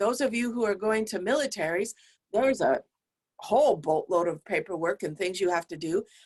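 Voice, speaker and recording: This woman has a normal speaking voice, fairly high in pitch, with lively intonation. The sound is dry and close, without echo. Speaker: professor. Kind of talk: lecture.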